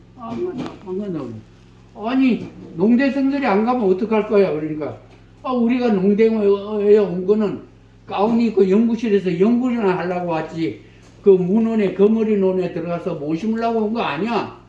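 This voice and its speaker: With a dark, mellow tone and a high pitch, a man speaks at a moderate pace amid audible room echo. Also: ordinary pitch variation. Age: old. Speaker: museum guide / chairman of a research society. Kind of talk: guided exhibition tour talk. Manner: casual, storytelling with quoted dialogue.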